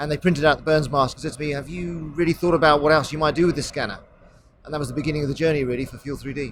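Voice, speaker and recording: A man's very fast, somewhat breathy voice, fairly high in pitch, with fairly even intonation and big swings in loudness. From England, near London. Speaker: tech company executive. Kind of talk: interview. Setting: trade show.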